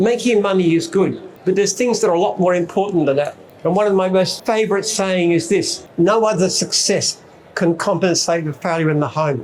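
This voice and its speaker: A man with an Australian accent and a high pitch, fairly quick in pace, ordinary in pitch variation, with noticeable background noise. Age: 70s. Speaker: business founder and CEO. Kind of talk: speech to an expo audience.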